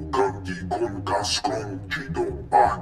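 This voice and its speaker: A man's growling, put-on character voice, very deep and low in pitch, at a fairly slow pace, with slight echo and loud background noise. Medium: video game. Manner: slow, pompous.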